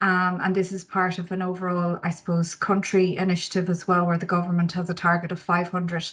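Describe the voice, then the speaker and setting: Over a quiet background, a somewhat breathy voice with an Irish accent speaks fairly quickly in a monotone, flat intonation. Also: woman. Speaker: energy company marketing manager. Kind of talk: conference presentation. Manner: hesitant, many fillers.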